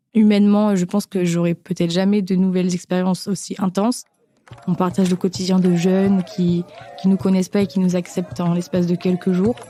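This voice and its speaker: In a dry, close recording with no echo, a woman with a dark, mellow tone and medium pitch speaks at a fairly quick pace with fairly even intonation. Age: 20s. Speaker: business school student, humanitarian association volunteer. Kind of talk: personal testimony interview. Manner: hesitant, many filler sounds.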